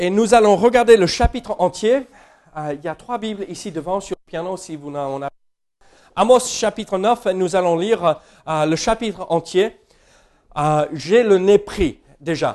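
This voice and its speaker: A man with an American accent talks at a fairly slow pace in a high pitch, with lively intonation. His loudness swings widely, and he takes long, frequent pauses. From United States. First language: English (speaking French). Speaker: pastor. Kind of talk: sermon. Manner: hesitant, many fillers.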